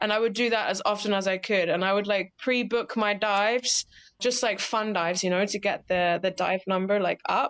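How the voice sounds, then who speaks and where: A medium-pitched woman with an American accent at a moderate pace, very even in loudness with fairly even intonation, on a very clean recording with a silent background. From UK. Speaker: scuba diving instructor. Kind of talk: casual interview chat. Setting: podcast interview.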